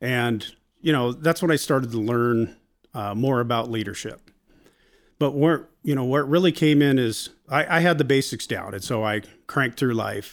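A man with an American accent uses an ordinary speaking voice at medium pitch, with ordinary pitch variation and a moderate pace. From Washington State, US Pacific Northwest. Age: 50s. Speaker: Marine veteran and small business owner. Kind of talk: casual interview.

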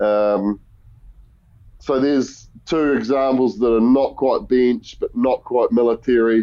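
Very slowly, a man speaks with a New Zealand accent at medium pitch. His loudness stays very even and his intonation fairly even. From New Zealand, Murchison. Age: 30s. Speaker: former rugby player and hunting guide. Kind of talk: casual chat.

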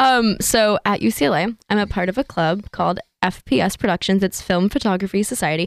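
A woman's medium-pitched voice with an American accent, ordinary pitch variation, very even loudness and hardly any pauses in a dry, close sound with no echo. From Northern California. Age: 20s. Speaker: university student and aspiring actress. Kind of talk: casual chat. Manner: articulate.

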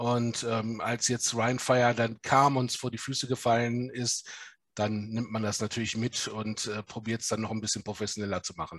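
The man's pitch is medium and his tempo moderate. He keeps a monotone, flat intonation. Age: 40s. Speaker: lawyer and football club executive. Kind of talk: podcast interview.

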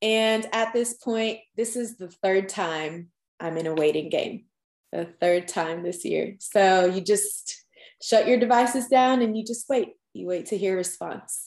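Speaking in an American accent, a woman has an unremarkable speaking voice at a medium pitch. Her pace is fairly slow, with ordinary pitch variation. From Long Island, New York. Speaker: dental student. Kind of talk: podcast interview.

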